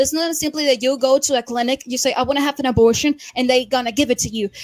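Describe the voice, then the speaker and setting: In a Spanish accent, a woman talks very fast with a high pitch and fairly even intonation, the sound dry and close with no echo. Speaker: debate participant. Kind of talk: heated debate. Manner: halting.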